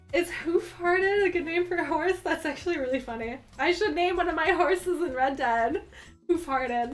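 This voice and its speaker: Over music in the background, a woman speaks in an animated tone at an extremely high pitch. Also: ordinary pitch variation, moderate pace. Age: 20s. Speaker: livestreamer. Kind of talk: casual chat. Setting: livestream.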